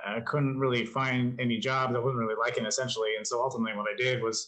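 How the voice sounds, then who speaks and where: In an American accent, a man with a normal speaking voice talks at a fairly quick pace. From New Mexico, US Southwest. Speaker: life coach and motivational content creator. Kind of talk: casual interview conversation.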